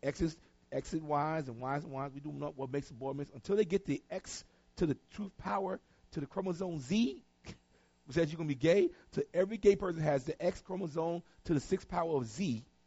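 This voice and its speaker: An animated man with a North Carolina accent, fairly high pitch, ordinary pitch variation, a fairly quick pace, and long, frequent pauses. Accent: Southern US, North Carolina. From North Carolina, Tarboro. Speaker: pastor. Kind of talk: sermon.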